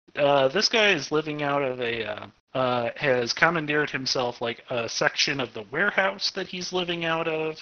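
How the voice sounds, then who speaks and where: Lively intonation marks this man's fairly high-pitched voice, an ordinary speaking voice with an American accent. He keeps a moderate pace with hardly any pauses. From Arkansas, US South. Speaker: game master running a tabletop RPG. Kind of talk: casual tabletop roleplaying game session.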